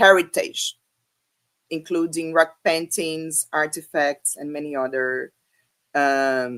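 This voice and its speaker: Very slow and marked by long, frequent pauses, a woman with a Brazilian Portuguese accent speaks at a very deep, low pitch with ordinary pitch variation, the sound dry and close with no echo. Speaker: academic speaker. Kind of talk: conference talk. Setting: online video presentation. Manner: halting, many fillers.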